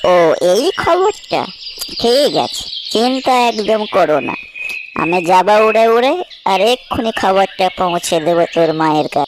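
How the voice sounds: A cartoonish character voice at middle pitch moves at a moderate pace. Clear background noise runs beneath it.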